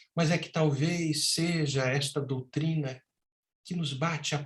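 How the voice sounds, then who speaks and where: A somewhat breathy man speaks at a fairly high pitch. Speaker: spiritist lecturer. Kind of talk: lecture. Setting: virtual talk. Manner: emotional, impassioned.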